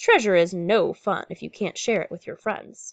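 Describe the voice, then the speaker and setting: A woman's put-on character voice, growling at a medium pitch and a moderate pace, against a quiet background. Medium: read story.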